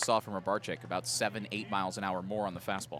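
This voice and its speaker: With noticeable noise behind him, this man speaks very rapidly. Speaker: radio color commentator. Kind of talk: live radio sports color commentary.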